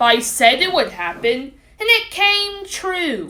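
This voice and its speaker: Putting on a character voice, a woman speaks extremely high with very wide pitch swings at a fairly slow pace. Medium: read story.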